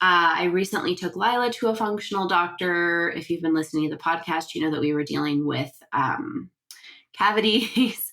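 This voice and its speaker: At a moderate pace, a woman talks with lively intonation in a fairly low pitch and a bright, sharp tone. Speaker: podcast host and sleep consultant. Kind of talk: casual podcast monologue. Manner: chatty, relaxed.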